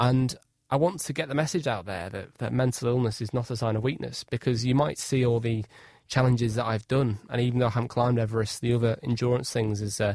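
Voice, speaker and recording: Very fast and at a medium pitch, a man speaks with ordinary pitch variation on a very clean recording with a silent background. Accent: northwest English. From Cheshire, England. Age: 20s. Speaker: inspirational speaker and adventurer. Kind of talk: radio interview. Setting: radio studio.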